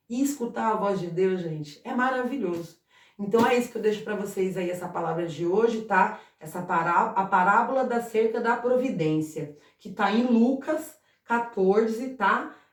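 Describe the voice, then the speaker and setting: Audible room echo surrounds a woman with a fairly high pitch who speaks at a moderate pace with lively intonation. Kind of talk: informal Bible talk to camera. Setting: at home. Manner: halting, repeats words.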